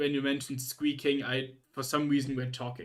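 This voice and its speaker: Speaking with a German accent, a man uses a fairly high pitch. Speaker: streamer. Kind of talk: casual chat. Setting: livestream. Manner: halting.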